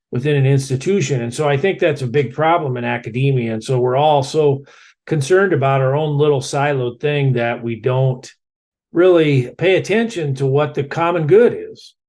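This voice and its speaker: A man with a Midwestern US accent talks at a moderate pace against a quiet background. His pitch is fairly high, with ordinary variation. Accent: US Midwest. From Iowa, US Midwest. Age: 60s. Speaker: environmental scientist and author. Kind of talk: podcast interview.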